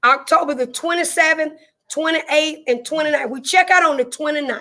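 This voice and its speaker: A woman with a Southern US accent speaks in a raised, projected voice. Her pitch is high and her tone is bright and sharp. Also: ordinary pitch variation. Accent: southern drawl. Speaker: livestreamer reading chat. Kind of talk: informal southern US vernacular. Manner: casual, chatty, repeats herself.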